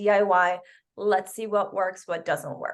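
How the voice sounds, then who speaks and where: A woman's medium-pitched voice with a slight Spanish accent, at a moderate pace. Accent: slight Spanish accent on some words. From Canada. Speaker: business coach. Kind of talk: webinar presentation.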